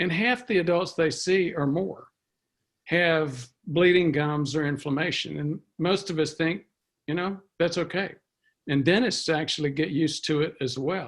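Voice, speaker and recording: A man with a fairly high voice speaks at a fairly slow pace with ordinary pitch variation, on a very clean recording with a silent background. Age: 60s. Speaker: preventive medicine physician. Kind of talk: interview. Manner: halting, many fillers.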